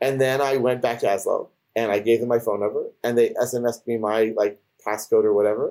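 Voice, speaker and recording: With a dark, mellow tone and monotone, flat intonation, a man of medium pitch talks fairly quickly in an American accent. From US. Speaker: podcast host. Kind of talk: casual panel discussion.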